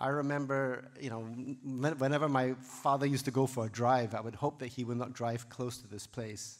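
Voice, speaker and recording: A man's monotone, flat delivery at a moderate pace, with big swings in loudness and hardly any pauses. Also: medium pitch for a man. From Singapore. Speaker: physician and academic leader. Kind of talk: lecture. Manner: hesitant, many fillers.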